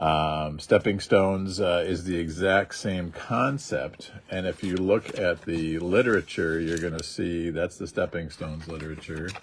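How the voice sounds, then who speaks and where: A man speaks in a very deep, low pitch with ordinary pitch variation. His pace is fairly slow, with hardly any pauses. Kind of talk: livestream tutorial. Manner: casual, halting.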